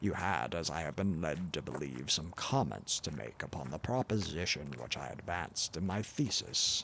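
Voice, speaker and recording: This put-on character voice rumbles along at a moderate pace with hardly any pauses, over clear background noise. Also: man, very deep, low pitch for a man. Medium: read story. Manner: insolent, overbearing.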